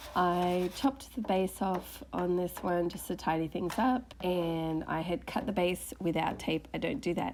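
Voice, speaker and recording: Speaking at a fairly slow pace, a woman talks with an Australian accent. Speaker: furniture refinisher. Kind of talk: voiceover tutorial narration. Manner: casual.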